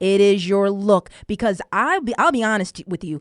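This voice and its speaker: A woman talks in an ordinary speaking voice at medium pitch with ordinary pitch variation. The pace is fairly slow and the sound is dry and close with no echo. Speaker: radio show host. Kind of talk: casual radio talk.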